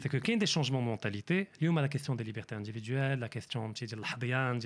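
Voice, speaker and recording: On a very clean recording with a silent background, a man with an unremarkable speaking voice talks at medium pitch and a fairly quick pace. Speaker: economist. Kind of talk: interview.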